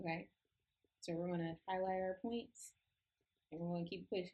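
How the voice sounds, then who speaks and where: Somewhat breathy, a woman talks at a moderate pace. Her pitch sits in the medium range. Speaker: Bible study teacher. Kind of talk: tutorial. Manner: casual.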